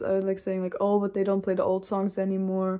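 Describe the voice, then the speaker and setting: A woman with a non-native accent, a medium pitch, and a dark, mellow tone. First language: not English. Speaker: metal music vlogger. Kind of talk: casual rant video. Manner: casual, laughing.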